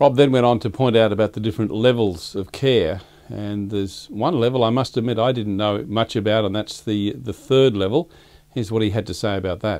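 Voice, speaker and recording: With ordinary pitch variation, a man talks at a fairly quick pace. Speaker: show host. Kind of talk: presenter introduction. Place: studio. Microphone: studio mic.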